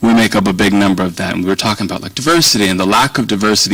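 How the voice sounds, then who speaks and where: A man with an American accent and a fairly low pitch, talking at a very fast pace amid noticeable background noise. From Virginia, US South. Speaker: policy organization director, guest speaker. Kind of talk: speech to an audience. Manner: conversational, rambling.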